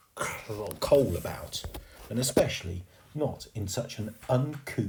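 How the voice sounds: Lively intonation in a natural reading voice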